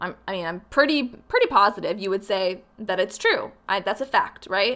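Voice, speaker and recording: This is a woman with a plain, everyday voice. She talks at a fairly quick pace with ordinary pitch variation. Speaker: podcast host. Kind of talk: solo podcast monologue, motivational.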